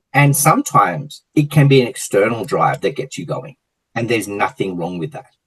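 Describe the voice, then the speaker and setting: A man with a fairly high pitch speaks at a fairly quick pace with lively intonation. His voice has vocal fry and big swings in loudness. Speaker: gym franchise owner, entrepreneur. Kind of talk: interview. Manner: energetic.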